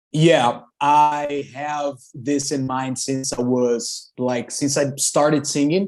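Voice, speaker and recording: This man talks at a very slow pace with fairly even intonation and hardly any pauses. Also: fairly high pitch for a man. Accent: Brazilian Portuguese. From Brazil. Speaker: rock singer. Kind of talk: interview. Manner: loud.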